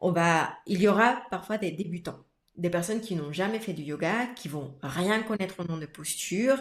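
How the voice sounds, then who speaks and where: Lively intonation at a moderate pace. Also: woman. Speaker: yoga teacher. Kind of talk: casual podcast conversation. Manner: animated, with frequent repetitions and fillers.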